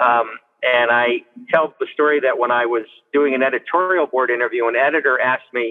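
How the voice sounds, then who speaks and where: At a moderate pace, a man talks in an unremarkable speaking voice, medium in pitch, with fairly even intonation. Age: 60s. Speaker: state legislator. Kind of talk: interview.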